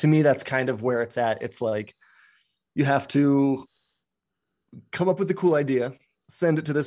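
A man talks at a moderate pace with an American accent and ordinary pitch variation. The recording is very clean, with a silent background. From Colorado, US. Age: 30s. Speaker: outdoor photographer. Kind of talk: casual interview chat.

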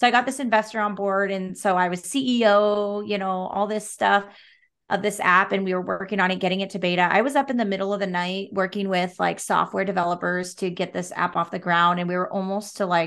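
A woman at medium pitch with a West Coast accent, fairly quick pace and fairly even intonation. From Oregon (Salem). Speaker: real estate broker and business owner. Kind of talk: casual chat.

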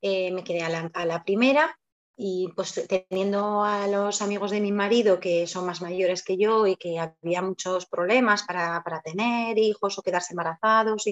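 Medium-pitched, with ordinary pitch variation: a woman and an unremarkable speaking voice. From Spain, Zaragoza (Aragon). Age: 30s. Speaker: mother telling her birth story. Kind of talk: interview testimony.

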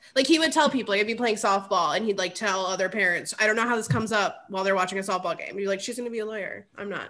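With a Midwestern American accent and a bright, sharp tone, a woman speaks very fast with lively intonation and hardly any pauses. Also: medium pitch for a woman. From Ohio, Cleveland area. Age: 30s. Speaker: podcast guest. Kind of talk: casual chat.

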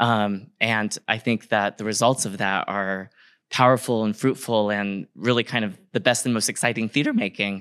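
An ordinary speaking voice from a man with an American accent, fairly low in pitch with fairly even intonation, in a very clean recording with a silent background. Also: moderate pace. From San Diego County, California, Kumeyaay reservation. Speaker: stage actor. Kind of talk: live talkback conversation. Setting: theater stage with live audience.

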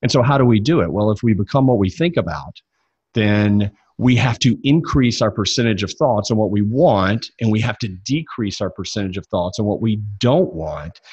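Lively intonation and a somewhat breathy voice come through in a Southern US accent at a fairly quick pace over a quiet background. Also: man. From US South, Mississippi. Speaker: success coach. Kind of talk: interview.

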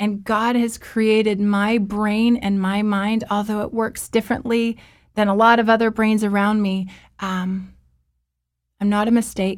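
Music plays behind a woman speaking at a fairly slow pace. Her pitch is fairly high and her intonation is flat and monotone. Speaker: author and mental health speaker. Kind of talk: personal testimony in interview. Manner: rambling at times, personal and heartfelt.

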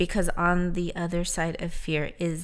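A woman speaks at a moderate pace with a fairly low pitch. The recording is very clean and the background silent. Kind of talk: pep talk. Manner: earnest, emphatic, rallying, with repeated phrases and direct appeals to the listener.

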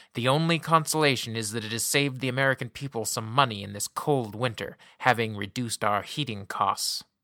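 An unforced reading voice shifts in pitch in an ordinary way.

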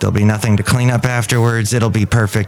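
A man's voice with noticeable background noise. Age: 50s. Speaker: podcast host. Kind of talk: casual solo podcast monologue. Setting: cafe. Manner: playful, rambling.

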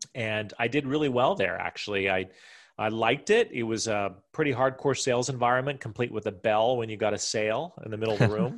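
Against a quiet background, a man with a normal speaking voice and an American accent talks at a fairly quick pace and a medium pitch. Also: ordinary pitch variation. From US Mountain West / Midwest (Wyoming, Iowa). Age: 40s. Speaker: entrepreneur and real estate businessman. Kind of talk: interview. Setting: home office.

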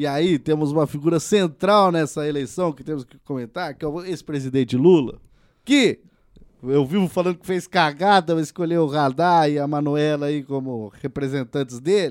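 At a moderate pace, a man with an unremarkable speaking voice talks at a fairly high pitch with ordinary pitch variation and big swings in loudness. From Paraná, Brazil. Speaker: podcast host. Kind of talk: casual chat.

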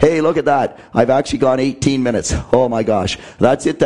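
Using a put-on character voice, a man speaks hoarsely at a moderate pace with a medium pitch. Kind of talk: casual, friendly.

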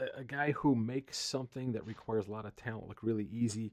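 A man with a plain, everyday voice talks at a fairly quick pace and medium pitch, his intonation fairly even. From US East Coast. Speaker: podcast host. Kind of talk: casual chat.

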